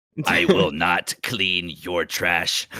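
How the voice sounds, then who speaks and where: A man uses a put-on character voice that is raspy and very deep. His tone is menacing. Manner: evil, menacing.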